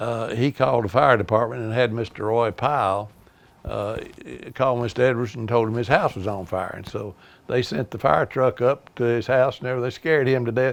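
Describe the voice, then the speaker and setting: Here a man talks with an Appalachian accent at a medium pitch. His pace is fairly quick, with ordinary pitch variation. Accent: Southern US, Appalachian. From US South, East Tennessee (Kingsport). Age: 80s+. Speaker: retired car dealer, local elder. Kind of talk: oral history storytelling. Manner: hesitant, many fillers.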